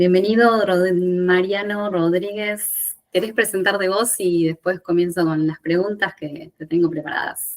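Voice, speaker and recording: A woman talks in a plain, everyday voice of medium pitch, with fairly even intonation. Her pace is fairly slow, and she hardly pauses. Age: 40s. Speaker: podcast host, independent professional. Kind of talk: podcast interview.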